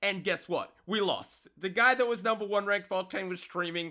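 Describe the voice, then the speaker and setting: In an Australian accent, a man with a high pitch uses a raised, projected voice, an animated tone and a bright, sharp quality on a very clean recording with a silent background. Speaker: gaming youtuber. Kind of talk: casual gaming commentary.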